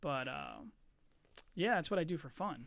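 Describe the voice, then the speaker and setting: In a very clean recording with a silent background, a man with an American accent speaks in a high-pitched voice with lively intonation and an animated, bright, sharp tone. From Philadelphia area, Pennsylvania. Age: 30s. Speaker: podcast host. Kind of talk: casual chat. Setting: studio with microphones. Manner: laughs often; profane, animated.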